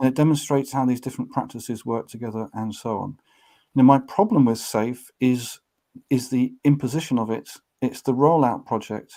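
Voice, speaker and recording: In a British accent, a man talks at a fairly quick pace with a dark, mellow tone and medium pitch. The recording is very clean, the background silent. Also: ordinary pitch variation. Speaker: author and organizational change trainer. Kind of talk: interview.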